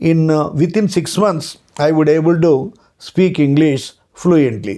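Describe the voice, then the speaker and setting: Fairly even in intonation, the voice has a dark, mellow tone and a Telugu accent. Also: man. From Andhra Pradesh, India. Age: 60s. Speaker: retired law lecturer. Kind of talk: lecture. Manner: hesitant, with frequent uh fillers and repetitions.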